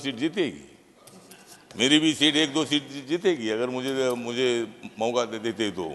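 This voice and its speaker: A man speaks with ordinary pitch variation. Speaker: politician, parliament member. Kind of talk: parliamentary speech with rhyming couplets, humorous.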